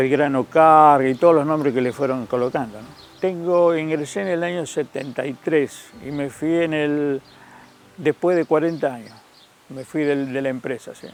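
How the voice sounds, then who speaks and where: A man talks at a moderate pace in a fairly high pitch, with fairly even intonation. His loudness swings widely, and background noise is noticeable. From Argentina, Santa Fe province. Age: 70s. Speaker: retired locomotive driver. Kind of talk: interview testimony. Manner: halting, many fillers.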